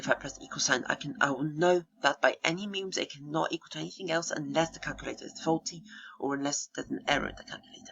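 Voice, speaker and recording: The speaker is soft-spoken and talks at a very fast pace. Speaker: gaming channel video creator. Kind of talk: casual explanatory monologue. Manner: soft-spoken, speaking quietly; halting, many fillers.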